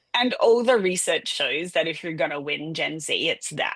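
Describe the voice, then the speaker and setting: Against a quiet background, a woman with an Australian accent talks in an animated tone at a moderate pace. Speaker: public relations agency owner. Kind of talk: podcast interview.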